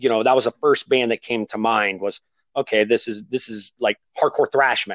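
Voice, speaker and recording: With an American accent, a man talks at a moderate pace in a medium pitch and fairly even intonation, a plain, everyday voice. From Ohio, US Midwest. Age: 30s. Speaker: podcast host. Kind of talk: casual interview.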